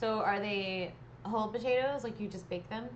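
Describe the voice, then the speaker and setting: Moderate-paced speech in an American accent, ordinary pitch variation, noticeable background noise and audible room echo. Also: woman. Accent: Texas accent, comes back sometimes. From East Texas. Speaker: painting livestreamer. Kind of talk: casual chat while painting to a live chat. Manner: animated.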